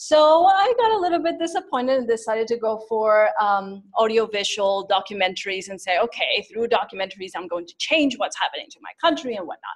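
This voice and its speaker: At a fairly quick pace and with hardly any pauses, a woman speaks at a fairly high pitch, with very wide pitch swings and big swings in loudness. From Mexico City. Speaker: social entrepreneur. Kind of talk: personal story talk.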